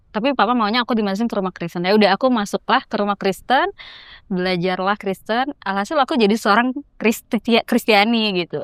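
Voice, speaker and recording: A woman with a Jakarta accent, fairly high in pitch with ordinary variation, at a very fast pace, in a dry, close sound with no echo on a very clean recording with a silent background. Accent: Jakarta Indonesian. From Jakarta, Indonesia. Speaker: traveller. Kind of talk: casual chat.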